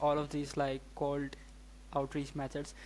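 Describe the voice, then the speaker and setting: Moderate pace with a non-native accent. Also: man. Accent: noticeable non-native. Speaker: podcast host. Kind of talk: casual interview.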